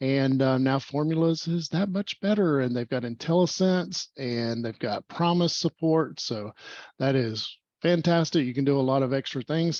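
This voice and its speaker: A man with lively intonation and a dry, close sound with no echo, against a quiet background. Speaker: meetup host. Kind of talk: online tech meetup presentation. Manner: fast.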